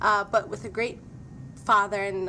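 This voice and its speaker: A woman with a Somali accent, medium pitch, a bright, sharp tone and a moderate pace. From Somalia. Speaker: former student giving testimonial. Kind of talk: testimony.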